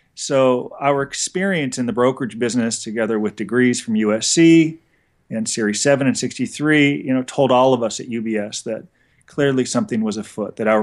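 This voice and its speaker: The speaker talks at a fairly quick pace with a Californian accent. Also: man, quiet background. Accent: General American (Californian). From Los Angeles area, California. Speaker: federal prison consultant. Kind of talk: interview.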